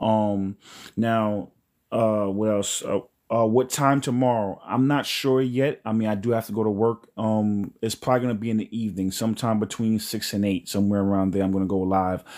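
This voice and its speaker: Speaking with a New York accent, a man keeps a fairly low pitch and fairly even intonation in a very clean recording with a silent background. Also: moderate pace. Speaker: spiritual livestream host. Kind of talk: live stream chat. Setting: live stream.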